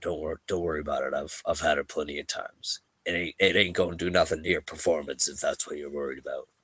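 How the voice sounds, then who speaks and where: In a raspy put-on character voice, a man speaks at a very deep, low pitch. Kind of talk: bro-ish pep talk. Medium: actual play. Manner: casual, buddy-like.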